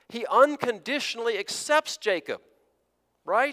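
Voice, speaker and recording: A man's raised, projected voice at a moderate pace, bright and sharp in tone, in a dry, close sound with no echo. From US border region near the South. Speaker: preacher. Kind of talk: sermon. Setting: church.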